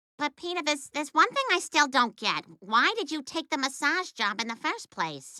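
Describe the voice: A female-sounding cartoonish character voice, high in pitch. It moves at a moderate pace.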